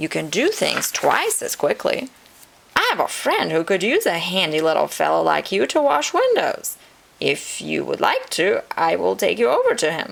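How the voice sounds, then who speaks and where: In a put-on character voice, a woman speaks at a moderate pace. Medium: read story. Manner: warm, friendly.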